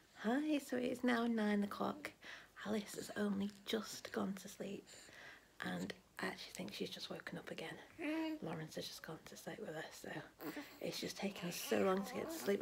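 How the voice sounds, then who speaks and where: Moderate pace over light background noise. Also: woman. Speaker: parent vlogger. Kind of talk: casual vlog chat. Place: home room. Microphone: phone near.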